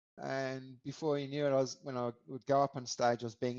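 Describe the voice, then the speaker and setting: A man speaks with an Australian accent in a dry, close recording with no echo. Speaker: podcaster and hip hop lyricist. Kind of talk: podcast interview.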